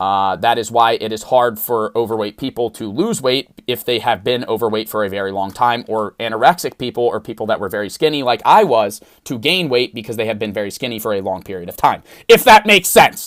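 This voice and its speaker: A man with a medium pitch speaks at a fairly quick pace with hardly any pauses. The recording is very clean with a silent background and a dry, close sound with no echo. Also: ordinary pitch variation. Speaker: social media creator. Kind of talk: casual chat. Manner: fast.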